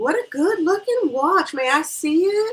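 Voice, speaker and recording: Using a squeaky, put-on character voice at an extremely high pitch, a woman speaks at a moderate pace. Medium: read story. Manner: gushing, excitable.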